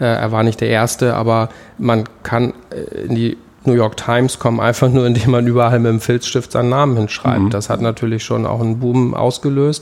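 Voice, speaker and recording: Against noticeable background noise, a man speaks fairly quickly at medium pitch, his intonation monotone and flat and his loudness very even. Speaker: graffiti artist. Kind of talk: interview. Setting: artist's studio.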